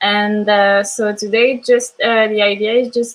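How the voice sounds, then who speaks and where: Speaking in a French accent at a very slow pace, a woman with a fairly high pitch keeps a monotone, flat intonation. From France. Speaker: language teacher. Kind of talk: online class. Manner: halting.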